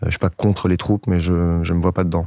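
A man's very deep, low voice, dark and mellow in tone, with a dry, close sound and no echo. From northern France, Lille. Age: 30s. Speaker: dating podcast guest. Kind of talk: casual interview. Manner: calm, thoughtful.

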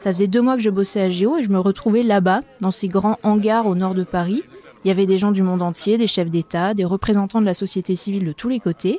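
In a dry, close sound with no echo, a woman with a normal speaking voice talks at medium pitch and a fairly quick pace with fairly even intonation. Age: 30s. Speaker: journalist and podcast host. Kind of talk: scripted narration.

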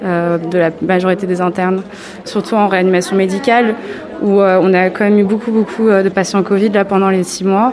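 Over noticeable background noise, a woman speaks at medium pitch and a moderate pace in a monotone, flat way. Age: 20s. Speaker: medical resident. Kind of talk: interview on a hospital ward.

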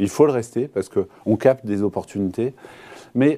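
A man's dark, mellow tone on a very clean recording with a silent background. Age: 40s. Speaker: company CEO and founder. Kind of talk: business interview. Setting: TV studio. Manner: hesitant, repeats words.

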